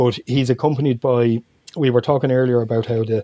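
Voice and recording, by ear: With a Dublin accent, a man of medium pitch speaks at a fairly quick pace in a dark, mellow tone. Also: fairly even intonation. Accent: Dublin Irish.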